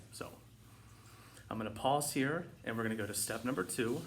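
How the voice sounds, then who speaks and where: A man speaks at medium pitch with ordinary pitch variation. Audible room echo surrounds his voice. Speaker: meditation and mindfulness vlogger. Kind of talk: casual instructional talk. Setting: home living room. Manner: fast; hesitant with fillers.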